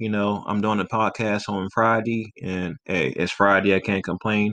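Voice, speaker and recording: This man speaks in a normal speaking voice at a moderate pace, with fairly low pitch. His intonation stays fairly even, and the sound is dry and close with no echo. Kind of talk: radio-style podcast sign-off with blessings.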